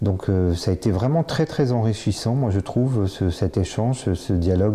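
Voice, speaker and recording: Lively in intonation, a man speaks at a moderate pace with a fairly low pitch, a dark, mellow tone and a somewhat breathy quality. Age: 50s. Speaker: bariatric surgery patient. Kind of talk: testimony. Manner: halting, many fillers and repetitions.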